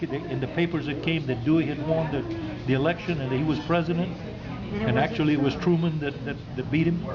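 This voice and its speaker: Against noticeable background noise, a man with an American accent and a fairly high voice talks very fast with fairly even intonation. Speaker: storyteller; union carpenter. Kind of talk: casual family conversation.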